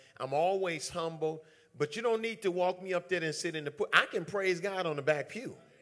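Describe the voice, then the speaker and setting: Animated in tone, a man talks at a high pitch with ordinary pitch variation and a bright, sharp sound. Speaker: preacher. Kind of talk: sermon to a live church congregation. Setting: church. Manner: animated, call-and-response preaching, emphatic repetition.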